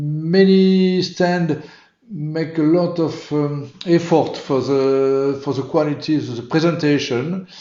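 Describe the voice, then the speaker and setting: This man, with a French accent, speaks very slowly at a fairly high pitch and with fairly even intonation. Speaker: motorsport event organiser. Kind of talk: interview. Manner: halting.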